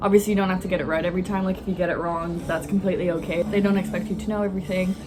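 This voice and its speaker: Against noticeable background noise, a woman speaks very fast in a flat, monotone way. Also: medium pitch for a woman. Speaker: physiotherapy student and vlogger. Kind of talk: vlog. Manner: casual, filler-heavy.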